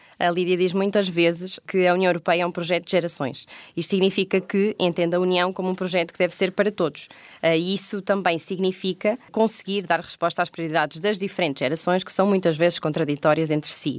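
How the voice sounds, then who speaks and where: The woman has an ordinary speaking voice, fairly low in pitch, at a fairly quick pace. The recording is very clean, with a silent background. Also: fairly even intonation. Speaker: podcast co-host. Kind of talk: moderated panel discussion. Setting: recorded on location at parliament.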